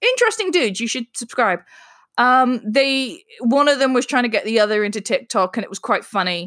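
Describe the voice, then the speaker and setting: Against a silent background in a very clean recording, a woman with a high voice talks at a fairly quick pace, her tone animated and her intonation lively. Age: 30s. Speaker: podcast host and craft business owner. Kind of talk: casual solo podcast monologue. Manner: animated, laughing often.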